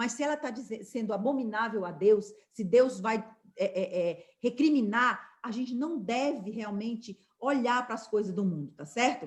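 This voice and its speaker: A woman talks in an ordinary speaking voice at a moderate pace. Her pitch is fairly high. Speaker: Bible study teacher. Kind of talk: Bible study lesson.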